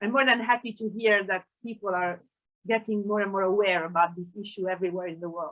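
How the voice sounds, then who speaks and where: At a fairly quick pace, a woman with an Italian accent talks at a medium pitch with fairly even intonation. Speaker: sociolinguist. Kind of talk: panel discussion. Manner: halting.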